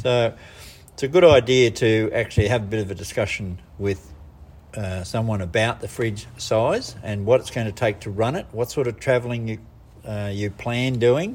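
A man with a medium pitch speaks at a moderate pace, somewhat breathy, with ordinary pitch variation and big swings in loudness. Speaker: business owner. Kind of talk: recorded interview. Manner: hesitant, repeating words.

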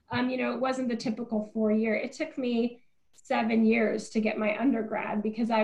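Against noticeable background noise, a woman with an American accent speaks at a fairly quick pace, her fairly high pitch held in fairly even intonation. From US Pacific Northwest, small town in Eastern Oregon. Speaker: nonprofit CEO and former restaurateur. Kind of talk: interview conversation.

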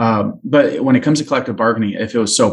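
A man speaks in a Californian accent at a medium pitch. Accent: General American (Californian). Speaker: policy advocacy trainer. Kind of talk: interview.

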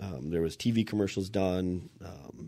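On a very clean recording with a silent background, a man with a Minnesota accent speaks at a moderate pace, his very deep, low pitch and dark, mellow tone held in fairly even intonation. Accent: Minnesotan Midwest. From Minnesota, Anoka. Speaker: exterior contractor and consultant. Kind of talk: casual interview chat.

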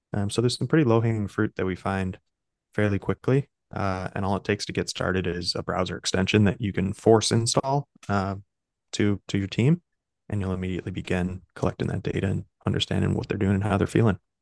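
A man with a plain, everyday voice and a fairly low pitch speaks at a fairly quick pace with fairly even intonation, the sound dry and close with no echo against a quiet background. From US Midwest, Chicago. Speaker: startup founder. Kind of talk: interview conversation. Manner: casual, filler-heavy.

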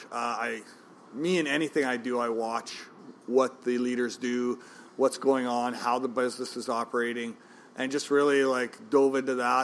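A man at medium pitch with a Canadian prairie accent and monotone, flat intonation. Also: moderate pace. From Saskatchewan, Canada (Regina). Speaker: restaurant owner. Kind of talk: interview. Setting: in a pub.

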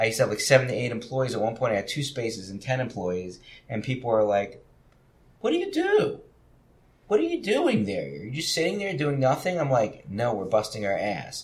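A man talks at a fairly quick pace in a New Jersey accent. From New Jersey, Trenton. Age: 50s. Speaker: gallery owner. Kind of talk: casual chat.

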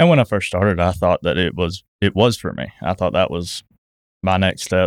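A man speaks with a very deep, low pitch. The recording is very clean with a silent background and a dry, close sound with no echo. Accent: Southern US. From US South (south Georgia, Thomasville). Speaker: business owner (trucking). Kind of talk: casual chat.

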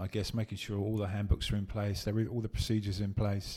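A man talks at a very fast pace in a somewhat breathy, fairly low voice. The recording is very clean, with a silent background. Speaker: podcast host. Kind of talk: casual interview. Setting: on location at guest's office, in person. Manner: chatty, hesitant with fillers.

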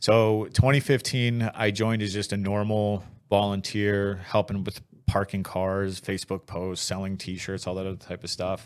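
A man talks at a moderate pace with a fairly low pitch, fairly even intonation and a normal speaking voice. The recording is very clean, with a silent background. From moved around as a Navy kid, US. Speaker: Iraq war veteran. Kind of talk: interview. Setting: studio.

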